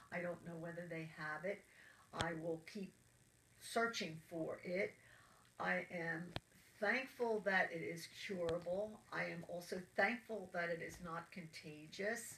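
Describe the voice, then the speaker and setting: A woman speaks at a fairly slow pace in a fairly low voice with a bright, sharp tone. Her intonation stays fairly even. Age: 70s. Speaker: cancer patient. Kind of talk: interview.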